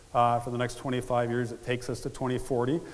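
The pace is fairly quick as a man speaks. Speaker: event host. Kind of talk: public speech. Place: stage. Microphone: headset.

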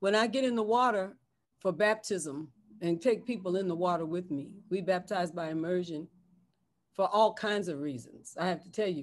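With an American accent, a woman speaks at a moderate pace with ordinary pitch variation and big swings in loudness. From San Francisco, US West Coast; California. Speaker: bishop and pastor; bishop, pastor. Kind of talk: interview conversation. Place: home room. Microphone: webcam.

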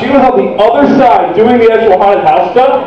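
A man at a very fast pace, with light background noise and audible room echo. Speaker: storyteller performer. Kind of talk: comic storytelling to audience. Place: hall. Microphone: camera far.

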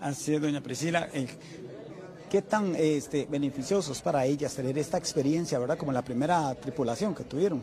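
A man with a Costa Rican accent, fairly high pitch and ordinary pitch variation, at a fairly quick pace amid noticeable background noise. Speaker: TV news reporter. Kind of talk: news interview. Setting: on location at a hotel. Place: hall. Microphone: handheld.

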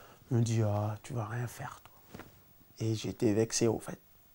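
At a fairly slow pace, a man talks in a dark, mellow tone. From Senegal, Dakar suburbs; Senegal. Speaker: professional footballer; interviewee. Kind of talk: interview. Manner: halting, many repetitions. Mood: relaxed, storytelling. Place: home room.

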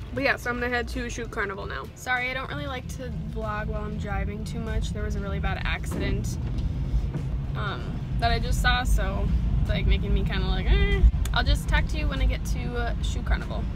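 The speech moves at a fairly quick pace, with a dry, echo-free sound and clear music in the background. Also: woman, ordinary pitch variation. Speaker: lifestyle vlogger. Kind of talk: casual vlog chat. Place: car. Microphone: phone near.

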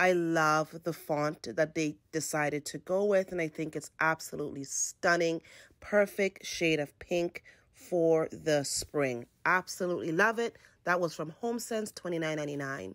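Over a quiet background, a woman with a fairly low pitch speaks at a fairly slow pace with ordinary pitch variation. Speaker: home decor vlogger. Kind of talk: casual home tour narration. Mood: warm, enthusiastic. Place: home room. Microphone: phone near.

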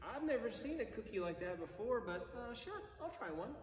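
A man with lively intonation and a playful, animated tone speaks at a moderate pace, with light background noise and audible room echo. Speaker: priest. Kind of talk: bedtime story read aloud to children, gentle and cozy, between prayers; compline service, liturgical prayer. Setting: online video service from church, addressing viewers. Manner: playful, expressive storyteller voice, lightly animated. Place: church. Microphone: camera far.

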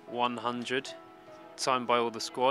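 A man at a moderate pace, dry with no echo, clear music playing in the background. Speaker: club TV interviewer. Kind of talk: interview questions. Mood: warm, upbeat. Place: stadium. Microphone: handheld.

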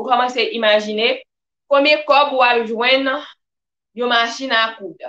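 A woman speaks at a high pitch and a fairly slow pace. Her intonation is fairly even, and audible room echo can be heard. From Haiti. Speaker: personal development vlogger. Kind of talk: live-stream talk. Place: home room. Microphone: webcam.

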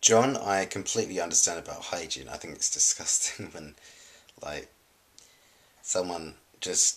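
Big swings in loudness mark a man's speech, which has a very deep, low pitch and a moderate pace. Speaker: collab channel vlogger. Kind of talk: casual vlog chat. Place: home room. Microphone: webcam.

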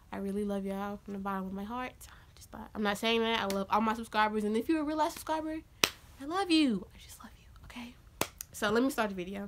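Talking at a very fast pace with an animated tone, a woman uses lively intonation and a fairly high pitch over light background noise. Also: big swings in loudness. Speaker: YouTuber telling storytime. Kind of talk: angry rant, animated storytelling. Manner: loud, heated, sassy, fast, animated. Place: home room. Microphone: phone near.

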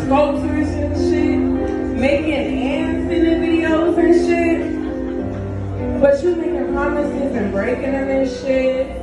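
A woman speaks at a fairly slow pace. Audible room echo and loud background music surround her voice. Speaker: spoken word poet. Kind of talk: live poetry performance. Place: stage. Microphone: camera far.

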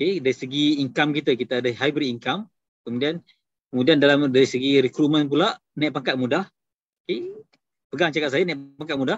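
The speaker talks at a fairly quick pace with ordinary pitch variation. The background is quiet, and the sound is dry with no echo. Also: man, fairly high pitch for a man. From Kedah, Malaysia. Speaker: takaful agency director; presenter. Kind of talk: business talk. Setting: video call. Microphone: video call.

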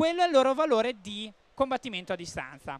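Over a quiet background, a man speaks at a moderate pace with lively intonation and an extremely high pitch. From Ravenna, Emilia-Romagna. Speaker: board game publisher presenter. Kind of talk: game demonstration. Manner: hesitant with fillers.

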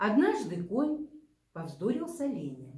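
A woman with vocal fry and a dark, mellow tone swings her pitch very widely, over a quiet background with audible room echo. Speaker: librarian or storyteller. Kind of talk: reading a fable aloud. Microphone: camera far.

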